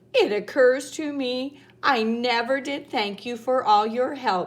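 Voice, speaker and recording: Using a put-on character voice, a woman speaks high and fairly slowly. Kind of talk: bedtime story. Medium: read story. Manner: brisk, matter-of-fact.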